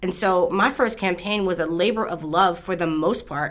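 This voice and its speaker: Speaking with an American accent at a moderate pace, a woman uses a normal speaking voice with ordinary pitch variation. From Baltimore, Maryland. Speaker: state senator. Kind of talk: interview.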